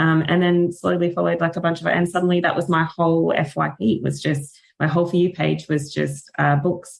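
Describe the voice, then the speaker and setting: The speaker talks at a fairly quick pace in an Australian accent. Hardly any pauses break the flow, and the loudness stays very even. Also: woman. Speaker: author and book content creator. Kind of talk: casual podcast interview. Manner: animated.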